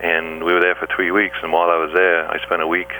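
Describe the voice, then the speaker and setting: Very fast speech in an English accent over noticeable background noise. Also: man. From England. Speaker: scuba diver and underwater photographer. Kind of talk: radio interview.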